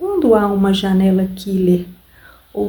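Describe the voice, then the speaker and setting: Soft-spoken and calm, a woman with a medium pitch talks at a very slow pace with fairly even intonation. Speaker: ASMR reader. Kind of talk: audiobook-style reading for relaxation. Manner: soft-spoken, calm, slow.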